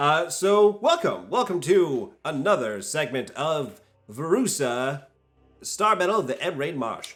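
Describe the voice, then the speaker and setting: With music in the background, a man speaks fairly slowly in a high voice, his pitch swinging very widely. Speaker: game master. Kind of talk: casual chat. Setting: recorded stream. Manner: hesitant, many fillers.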